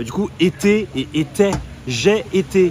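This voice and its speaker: Over noticeable background noise, a man speaks in an animated tone at a fairly high pitch. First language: not French (speaking French). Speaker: live streamer. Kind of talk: casual live stream chat. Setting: in a bar.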